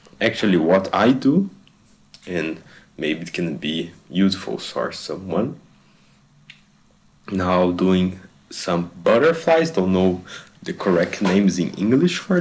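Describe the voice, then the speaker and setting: A man with a non-native accent speaks at a very slow pace. His speech has long, frequent pauses. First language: not English. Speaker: fitness vlogger. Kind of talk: voiceover narration of own stretching routine. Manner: halting, with hesitations and repeated words. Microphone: bad microphone.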